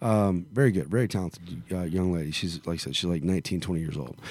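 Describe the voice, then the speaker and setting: In a Southern US accent, a man speaks with a very deep, low pitch. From Arkansas / Memphis area, US South. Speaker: country singer. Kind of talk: casual interview. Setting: in a venue in Las Vegas. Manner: halting, many fillers.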